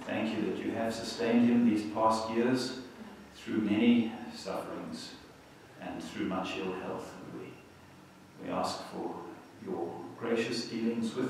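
Amid strong room echo and light background noise, a man speaks fairly slowly with long, frequent pauses, ordinary pitch variation and big swings in loudness. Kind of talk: public prayer. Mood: calm, solemn. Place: church.

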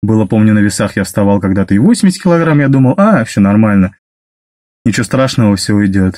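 A man speaks at a fairly quick pace with medium pitch and lively intonation. His tone is dark and mellow, and the background is quiet. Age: 30s. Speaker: driver sharing weight-loss story; vlogger telling his weight-loss story. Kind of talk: personal testimony monologue. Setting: self-recorded video. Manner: halting with fillers. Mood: calm, confessional. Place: car. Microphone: phone near.

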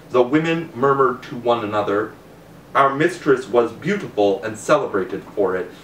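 A man's lively intonation comes through with audible room echo and light background noise. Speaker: reader of a classical novel. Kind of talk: audiobook reading aloud of an ancient Greek novel. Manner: measured, narrative storytelling pace with formal tone. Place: home room.

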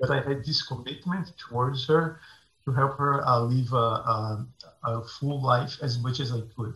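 With a Portuguese accent, a man of medium pitch speaks at a fairly slow pace in a bright, sharp tone, his fairly even intonation carrying audible room echo. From Brazil. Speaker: tech founder; panel expert. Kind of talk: presentation. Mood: earnest, personal story. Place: home room. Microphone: video call.

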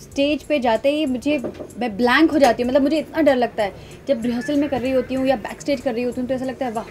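Faint music sits behind a woman who talks very fast at a high pitch with fairly even intonation. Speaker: interviewee. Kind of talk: interview answer. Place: home room. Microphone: handheld.

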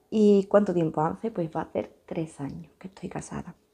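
Against a quiet background, a woman speaks in a dark, mellow tone with ordinary pitch variation. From Andalucía, Huelva province (Sierra de Huelva village); Andalucía, Spain. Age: 20s. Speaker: YouTuber, stay-at-home mother; YouTuber. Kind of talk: casual Q&A vlog. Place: home room. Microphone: phone near.

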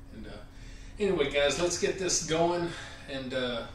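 A man speaks at a moderate pace amid audible room echo and light background noise. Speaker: home gym vlogger. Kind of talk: casual vlog chat. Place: gym.

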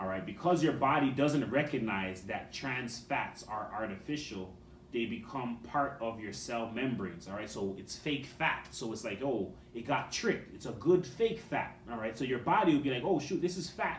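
A man talks at medium pitch and a moderate pace, with lively intonation. Room echo is audible.

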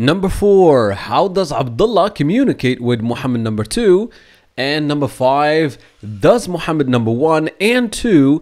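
The man's fairly high voice moves at a moderate pace through very wide pitch swings. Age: 20s. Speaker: Darija teacher. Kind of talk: lesson intro to learners.

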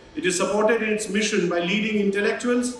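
The intonation stays fairly even. Light background noise and audible room echo are present. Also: man. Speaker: host college official giving welcome address. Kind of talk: formal welcome speech. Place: hall.

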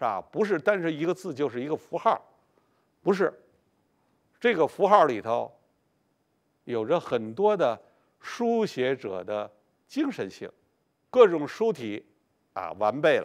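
Against a quiet background, a man with vocal fry speaks at a fairly slow pace, with very wide pitch swings and long, frequent pauses. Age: 70s. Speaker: painter and lecturer; lecturer. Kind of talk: lecture. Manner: frequent filler particles. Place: studio. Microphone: lapel.

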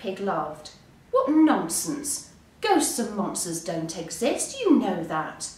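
The text comes out in an unforced reading voice.

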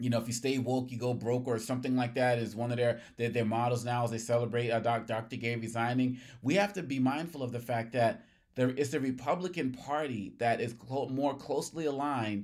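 With fairly even intonation, a man speaks at a fairly quick pace over a quiet background. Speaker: political commentator. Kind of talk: commentary. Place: office.

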